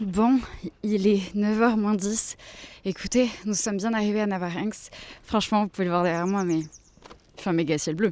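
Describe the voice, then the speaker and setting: A woman speaks at a moderate pace and a medium pitch, with long, frequent pauses. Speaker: vlogger, freelance illustrator. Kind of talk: casual vlog talk to camera. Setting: outdoors at a market. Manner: soft-spoken, speaking quietly.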